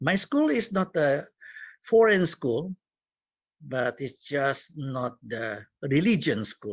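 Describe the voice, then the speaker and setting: A man speaks at a very slow pace in a fairly high pitch, his voice swinging very widely up and down. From Indonesia. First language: Cantonese. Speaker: community leader and guest speaker. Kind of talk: talk to students. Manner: halting.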